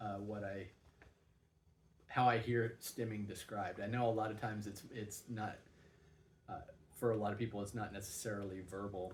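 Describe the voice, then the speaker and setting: A man's fairly low, somewhat breathy voice in monotone, flat intonation, at a moderate pace with long, frequent pauses and audible room echo. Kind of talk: personal vlog monologue. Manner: halting, many fillers and repeats.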